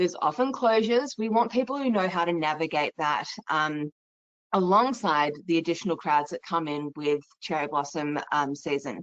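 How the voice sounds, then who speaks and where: A woman with an Australian accent, her fairly low voice moving at a moderate pace with lively intonation. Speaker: travel company sales presenter. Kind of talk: webinar presentation. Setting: online webinar.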